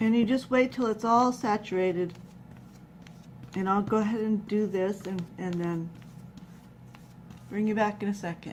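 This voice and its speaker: Soft-spoken, mumbling woman at a medium pitch, fairly even intonation, a moderate pace, and long, frequent pauses. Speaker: craft tutorial maker. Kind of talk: tutorial. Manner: hesitant with many fillers.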